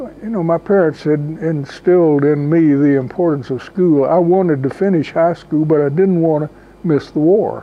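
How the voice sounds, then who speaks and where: At a fairly slow pace and with ordinary pitch variation, a man speaks in a fairly high voice over noticeable background noise. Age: 80s+. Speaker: WWII veteran. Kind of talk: interview.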